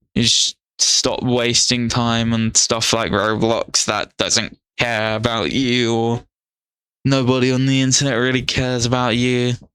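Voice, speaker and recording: A man with a medium pitch speaks in a bright, sharp tone at a fairly slow pace. His intonation is monotone and flat, with very even loudness. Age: 20s. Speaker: youtuber. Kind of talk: casual monologue. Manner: rambling, halting.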